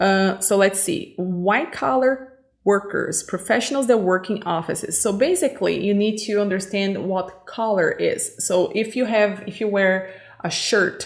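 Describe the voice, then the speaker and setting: Against noticeable background noise, a woman of medium pitch talks at a fairly slow pace with ordinary pitch variation. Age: 30s. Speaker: English teacher. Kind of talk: lesson. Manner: hesitant, many fillers.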